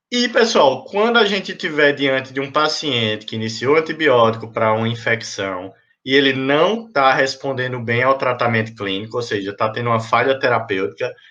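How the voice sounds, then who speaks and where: With a bright, sharp tone and lively intonation, a man talks at a moderate pace and a medium pitch, hardly pausing at all. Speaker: physician lecturer. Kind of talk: lecture. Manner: animated.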